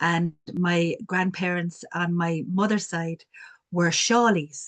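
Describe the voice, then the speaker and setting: This woman speaks at a fairly low pitch with a strong Cork accent. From Ireland, Cork city. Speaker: community development worker. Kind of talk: panel discussion.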